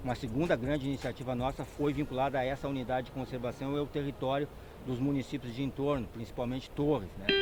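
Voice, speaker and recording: The speaker talks at a fairly quick pace with monotone, flat intonation. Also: man. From southern Brazil, Porto Alegre. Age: 50s. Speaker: agronomist, NGO founder. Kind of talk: interview.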